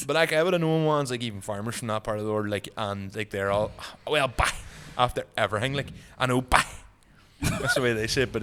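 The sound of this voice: Pitch varies in an ordinary way at a very fast pace, broken by long, frequent pauses. Noticeable background noise is present. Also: man, medium pitch for a man.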